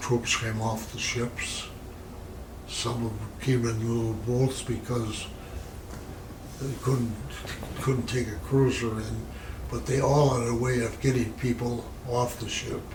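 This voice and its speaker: Amid noticeable background noise, a man with an American accent speaks at a medium pitch in a monotone, flat intonation, with long, frequent pauses. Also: fairly slow pace. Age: 80s+. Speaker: war veteran. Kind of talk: interview answer.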